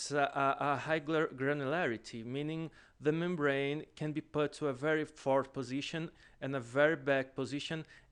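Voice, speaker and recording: The background is quiet as a man speaks at a fairly high pitch. His intonation is monotone and flat. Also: moderate pace. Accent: Portuguese. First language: Portuguese. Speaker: student presenter. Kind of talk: lecture. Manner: halting.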